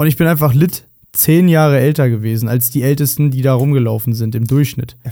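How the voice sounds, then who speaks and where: Fairly even in intonation, a man speaks at a moderate pace with a dark, mellow tone. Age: 30s. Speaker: podcast co-host. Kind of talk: casual chat.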